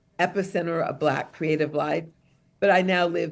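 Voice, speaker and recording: Fairly even intonation from a woman with an American accent, at a moderate pace. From Detroit, US Midwest. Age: 60s. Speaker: author and songwriter. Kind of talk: book talk interview.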